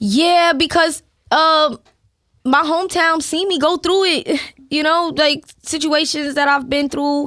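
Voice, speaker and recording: With a strong Brooklyn accent, a woman of high pitch and a bright, sharp tone speaks at a fairly slow pace. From Brooklyn, New York. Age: young. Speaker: rapper. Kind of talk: casual interview chat. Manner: casual, conversational.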